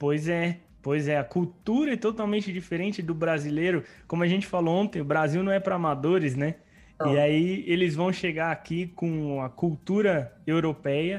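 This man's voice is high-pitched. It rises and falls in an ordinary way. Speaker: podcast host. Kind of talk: podcast interview.

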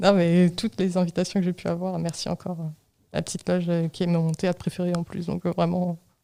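In a dry, close sound with no echo, a woman speaks at a fairly quick pace with a fairly low pitch, a dark, mellow tone and monotone, flat intonation. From Normandy, France. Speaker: podcast host. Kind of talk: casual chat.

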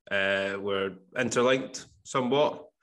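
A man speaks very slowly with a Scottish accent, his medium-pitched voice bright and sharp, with ordinary pitch variation. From Scotland, Campbeltown, west coast. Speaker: podcast host. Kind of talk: casual interview chat.

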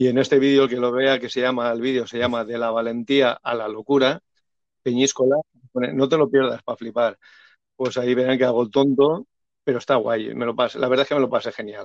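A man talks in a normal speaking voice at a medium pitch and a fairly quick pace. His intonation is fairly even, and the sound is dry and close with no echo. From Valencia region, Spain. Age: 50s. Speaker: bullfighting YouTuber. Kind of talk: interview. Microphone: poor audio, host's voice overlapping.

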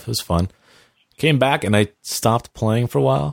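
In a normal speaking voice, a man with a fairly low pitch talks at a moderate pace, the sound dry and close with no echo on a very clean recording with a silent background. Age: 30s. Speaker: television composer. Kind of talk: casual chat.

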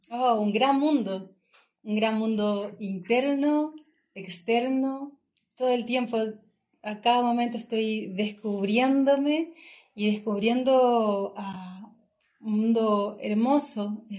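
A woman with a fairly high, somewhat breathy voice speaks at a very slow pace with ordinary pitch variation. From southern Chile (Chillán). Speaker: travel entrepreneur. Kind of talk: casual interview. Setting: in person, recording in Nepal.

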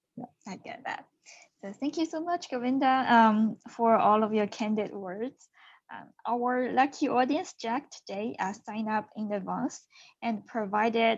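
Speaking at a fairly slow pace, a woman with a Chinese accent shows ordinary pitch variation. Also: big swings in loudness, quiet background. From China. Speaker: podcast host. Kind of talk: interview.

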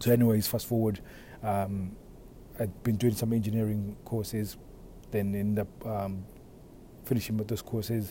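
A man at a moderate pace, fairly low in pitch and somewhat breathy, with a dark, mellow tone and fairly even intonation. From Africa. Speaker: podcast host and men's relationship coach. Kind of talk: solo monologue podcast. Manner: casual, with frequent fillers.

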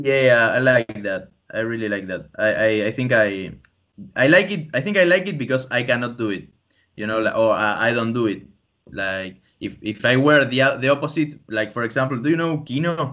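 The voice has a bright, sharp tone, lively intonation and a Spanish accent. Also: man, medium pitch for a man, moderate pace. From Argentina (Tandil, Buenos Aires province). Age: 20s. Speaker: podcast host, comic artist and student. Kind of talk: casual chat. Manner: halting.

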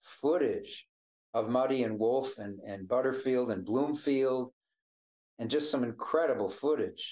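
At a fairly slow pace, a man speaks with an American accent at a medium pitch. His normal speaking voice shows ordinary pitch variation. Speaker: blues harmonica player. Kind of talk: casual chat. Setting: video call.

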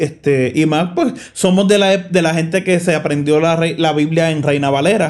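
With a plain, everyday voice, this man speaks at a moderate pace and very even loudness, his fairly high pitch carried in fairly even intonation. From Puerto Rico (Bayamón). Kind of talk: casual chat.

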